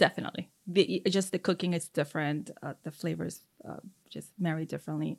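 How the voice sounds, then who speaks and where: A woman speaks with a very deep, low pitch and vocal fry at a moderate pace, her intonation fairly even. The recording is very clean, with a silent background. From Mexico. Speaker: chef and restaurant owner. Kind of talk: casual interview.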